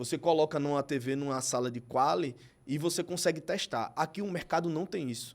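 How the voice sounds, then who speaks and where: A man's fairly high voice moves at a fairly quick pace, its pitch varying in an ordinary way. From Brazilian Northeast. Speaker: TV presenter and advertising executive. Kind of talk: podcast interview.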